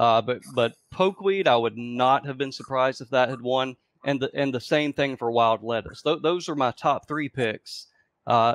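Over a quiet background, a man talks at a moderate pace with ordinary pitch variation, the sound dry with no echo. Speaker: panelist. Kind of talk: casual panel discussion. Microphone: video call.

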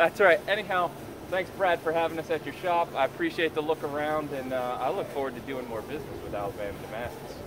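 Noticeable background noise sits under a man talking at a very fast pace. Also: ordinary pitch variation. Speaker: visiting knifemaker vlogger. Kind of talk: casual vlog chat. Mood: cheerful, laughing. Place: street. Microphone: camera far.

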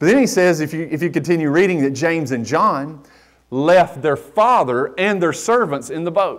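Over a quiet background, a man with a North Carolina accent speaks at a moderate pace in a high pitch with lively intonation. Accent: Southern US (North Carolina). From US South, western North Carolina. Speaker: pastor. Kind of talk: sermon. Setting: church. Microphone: lapel.

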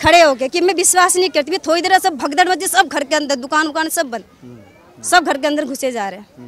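A high-pitched woman's voice, animated and nearly pauseless, with big jumps in volume, a dry echo-free sound and crowd noise behind it. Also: ordinary pitch variation, moderate pace. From Delhi, Jahangirpuri; Delhi. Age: 30s. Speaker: local resident; interviewee. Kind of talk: street interview. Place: street. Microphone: handheld.

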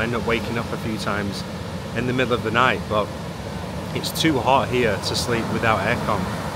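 Loud background noise accompanies a man whose voice sounds dry, with no echo. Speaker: fitness coach vlogger. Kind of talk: casual vlog chat. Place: beach. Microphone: phone near.

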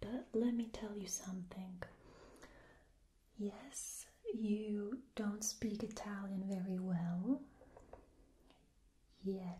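A soft-spoken woman with a somewhat breathy, gentle, dark and mellow tone talks at a very slow pace, with fairly even intonation and long, frequent pauses. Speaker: language teacher. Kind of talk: tutorial. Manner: soft-spoken ASMR voice, gentle and quiet. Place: home room. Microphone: phone near.

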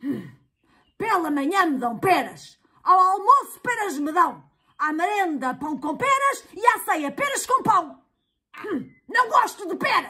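A cartoonish character voice sits at an extremely high pitch with very wide pitch swings. It moves at a fairly slow pace. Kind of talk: children's puppet show dialogue. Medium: puppet.

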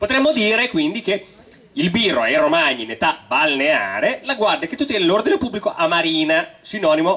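Over noticeable background noise, a man speaks in a raised, projected voice at a moderate pace, his high pitch making very wide swings. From Romagna, Italy. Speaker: storyteller. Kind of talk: live stage comedy talk to audience.

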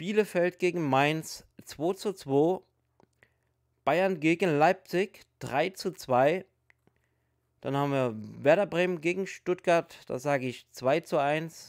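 A man at a very slow pace with long, frequent pauses and ordinary pitch variation, over a quiet background. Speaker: hobby youtuber. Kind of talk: casual commentary.

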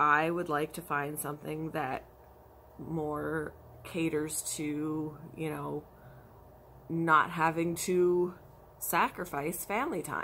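Over light background noise, a woman with a very deep, low pitch speaks at a very slow pace in a bright, sharp tone, her intonation monotone and flat, with long, frequent pauses. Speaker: crafter vlogger. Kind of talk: casual vlog chat. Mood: frustrated about work hours. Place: home room. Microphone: phone near.

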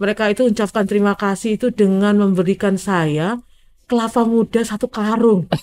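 At a fairly quick pace, a woman talks with very even loudness and fairly even intonation. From Indonesia. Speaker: physician specializing in snakebite treatment; guest. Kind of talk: interview storytelling. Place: studio. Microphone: studio mic.

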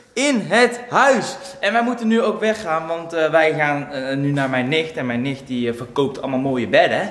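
The speaker moves at a moderate pace with very wide pitch swings, and audible room echo surrounds the voice. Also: man. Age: 20s. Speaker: YouTube vlogger; vlogger. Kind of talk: casual vlog. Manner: animated.

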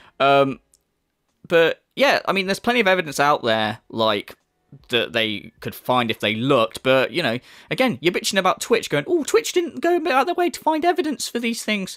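Spoken at a moderate pace, the recording is very clean with a silent background and a dry, close sound with no echo. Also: man. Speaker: video commentator. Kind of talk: casual commentary. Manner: casual, sarcastic, sweary.

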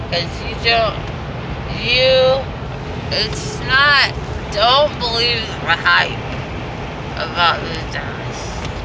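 Loud background noise sits behind this woman. She speaks at a very slow pace. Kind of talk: casual vlog chat. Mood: giddy, joking. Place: car. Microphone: phone near.

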